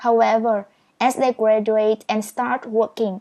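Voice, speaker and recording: In a Vietnamese accent, a woman speaks with fairly high pitch against a quiet background. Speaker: speed reading teacher. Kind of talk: tutorial.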